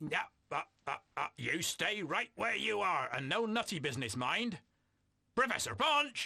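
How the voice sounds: Putting on a character voice, a man speaks at a moderate pace and high pitch with very wide pitch swings and long, frequent pauses.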